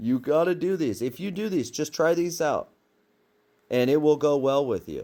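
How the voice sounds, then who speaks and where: A man's animated, lively-intoned voice at a fairly slow pace, in a very clean recording with a silent background. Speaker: religious teacher. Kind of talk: casual sermon.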